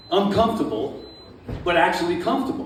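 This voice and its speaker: A man's speech carries audible room echo, and noticeable background noise is present too. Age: 70s. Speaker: stand-up comedian. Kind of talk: stand-up. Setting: stage with audience at a winery. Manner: hyper, animated.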